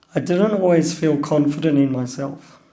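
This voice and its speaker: Speaking at a fairly slow pace with an Australian accent, a man uses a fairly high pitch, a dark, mellow tone and ordinary pitch variation. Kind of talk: personal talk.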